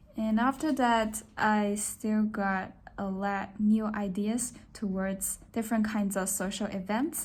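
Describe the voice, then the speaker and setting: A woman's somewhat breathy, fairly high voice in a Chinese accent, very slow pace, fairly even intonation, and audible room echo. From China, Shanghai. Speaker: design student. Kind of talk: self-introduction. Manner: halting.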